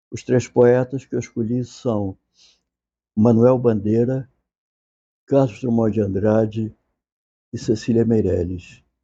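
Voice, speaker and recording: Soft-spoken and at a very slow pace, a man of medium pitch talks with fairly even intonation and long, frequent pauses. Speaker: literature professor. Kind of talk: lecture. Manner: informal, conversational.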